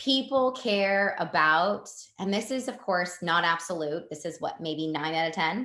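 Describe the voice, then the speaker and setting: The speaker has a slight Canadian accent. The tone is animated. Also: woman. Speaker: network marketing team leader. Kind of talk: live online team training.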